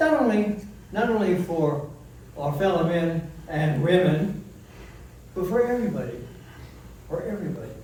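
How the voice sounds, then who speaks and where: Audible room echo and noticeable background noise surround a man with a high voice and lively intonation. He speaks at a fairly slow pace. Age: 80s+. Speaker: war veteran. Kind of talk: memorial speech. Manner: halting.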